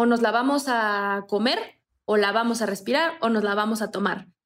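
A woman is speaking. Her pace is moderate. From Morelos, Mexico. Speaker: zero-waste content creator. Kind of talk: casual chat.

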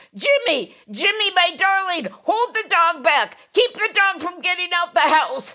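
In a put-on character voice with an extremely high pitch, the speaker goes at a fairly slow pace with hardly any pauses.

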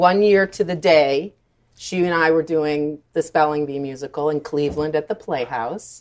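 A woman's very deep, low voice in an American accent, moderate in pace, with ordinary pitch variation and big swings in loudness. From Michigan. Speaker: director and choreographer. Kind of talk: casual chat. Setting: restaurant.

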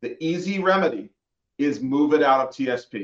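This is a man talking. His pitch sits fairly high. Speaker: certified financial planner. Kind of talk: radio interview. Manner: clear.

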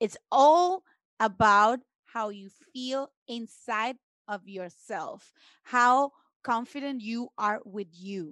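A woman with a Spanish accent at a very slow pace, with a fairly high pitch, lively intonation and big swings in loudness. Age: 30s. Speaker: guest. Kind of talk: casual chat.

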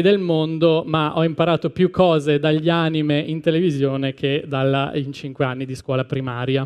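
With an unremarkable speaking voice, a man talks at a fairly quick pace, his pitch fairly high and his intonation fairly even. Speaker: podcast host. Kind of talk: scripted live talk and reading aloud. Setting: stage with audience.

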